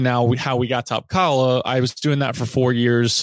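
At a moderate pace, a man with an American accent and an ordinary speaking voice talks at medium pitch, the sound dry and close with no echo. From US South, Virginia (Roanoke). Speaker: company managing director. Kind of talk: interview.

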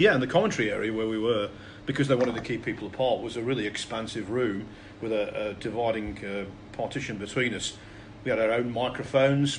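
A man's medium-pitched voice with an English accent, very fast in pace, with fairly even intonation and audible room echo. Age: 50s. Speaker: snooker commentator. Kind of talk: casual chat.

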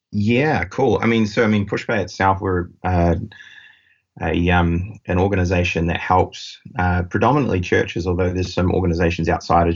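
With a very deep, low pitch, a man speaks at a fairly quick pace and keeps his intonation fairly even. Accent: New Zealand. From New Zealand. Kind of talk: casual interview conversation.

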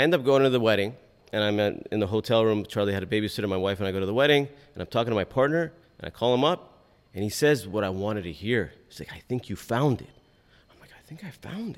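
With a Californian accent, a man talks at a very fast pace and fairly low pitch. His intonation is lively, and his loudness swings widely. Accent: Californian American. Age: 40s. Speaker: personal injury lawyer. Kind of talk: interview. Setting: live event.

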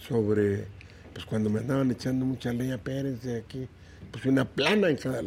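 A fairly quick pace carries the speech along. There is some breathiness, and the pitch varies in an ordinary way. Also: man, medium pitch for a man. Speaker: politician, senator. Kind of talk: interview.

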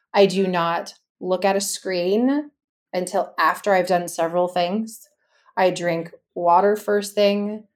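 Speaking with a Californian accent, a woman with a medium pitch and fairly even intonation talks at a very slow pace on a very clean recording with a silent background. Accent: Californian American. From US West Coast, Los Angeles. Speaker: wellness coach and former fitness business founder. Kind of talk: interview about personal healing journey.

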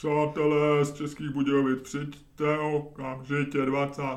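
In a put-on character voice, the speaker holds a low-to-middle pitch with monotone, flat intonation. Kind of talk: old-time radio announcer. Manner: goofy, exaggerated.

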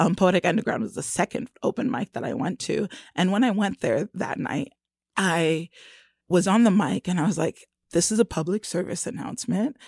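A woman with an American accent speaks in an ordinary speaking voice at a medium pitch and moderate pace, with lively intonation. The recording is very clean with a silent background and a dry, close sound with no echo. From Florida. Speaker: poet. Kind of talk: radio interview.

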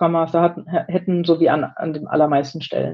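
This woman speaks fairly quickly at a fairly low pitch, with vocal fry. Her intonation stays flat and monotone. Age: 30s. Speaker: agile team leader in software development. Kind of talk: interview conversation.

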